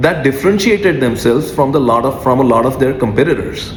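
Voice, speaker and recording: A man with a non-native accent speaks at a fairly quick pace with very wide pitch swings, over noticeable background noise and audible room echo. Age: 40s. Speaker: music artist. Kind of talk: freestyle monologue. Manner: many filler 'uh's.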